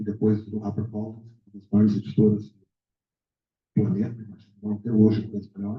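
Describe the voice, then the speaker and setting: Fairly low-pitched male voice, dark and mellow in tone, somewhat breathy. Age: 60s. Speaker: literary mentor. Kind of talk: book launch speech. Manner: halting.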